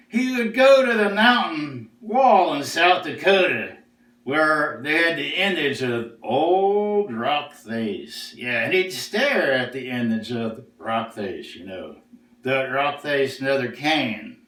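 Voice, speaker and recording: A put-on character voice from a man, fairly high in pitch and fairly slow, with slight echo. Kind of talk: storytelling.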